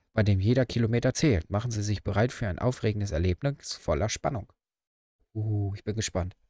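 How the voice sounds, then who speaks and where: A man speaks at a fairly low pitch in a dark, mellow tone. The sound is dry with no echo, against a quiet background. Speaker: gaming streamer. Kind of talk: casual let's-play commentary. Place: home room.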